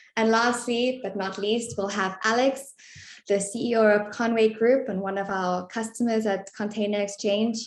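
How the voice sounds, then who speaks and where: With a South African accent, a woman speaks at a moderate pace in a fairly high voice with monotone, flat intonation. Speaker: webinar moderator, content marketing manager. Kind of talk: webinar presentation. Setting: online webinar.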